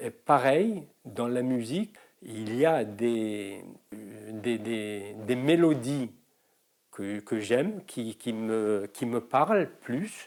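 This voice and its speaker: With a Moroccan accent, a man speaks at a very slow pace and a medium pitch. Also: ordinary pitch variation, very clean recording, silent background. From Morocco. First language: Moroccan Arabic (speaking French). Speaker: singer and mime performer. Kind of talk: interview testimony. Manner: halting, many hesitations.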